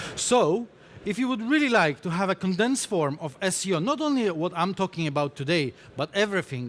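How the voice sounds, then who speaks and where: With a Polish accent, a man talks at a moderate pace in a high pitch, his voice swinging very widely up and down. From Poland. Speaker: conference speaker, SEO specialist. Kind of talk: conference talk. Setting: stage with audience.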